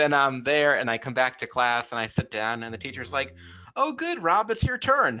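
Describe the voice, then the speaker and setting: With a bright, sharp tone and lively intonation, a man talks at a moderate pace in a fairly high pitch. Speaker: creative director and writer who stutters. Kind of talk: interview. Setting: podcast interview. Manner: stuttering.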